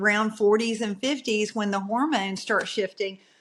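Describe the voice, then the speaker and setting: With a Southern US accent, a woman speaks at a fairly high pitch with fairly even intonation. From US South. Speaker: podcast guest. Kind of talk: casual interview chat.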